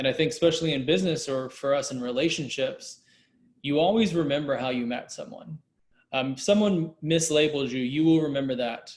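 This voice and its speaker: A man's fairly high voice at a fairly quick pace, with ordinary pitch variation. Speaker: discussion panelist. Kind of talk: panel discussion.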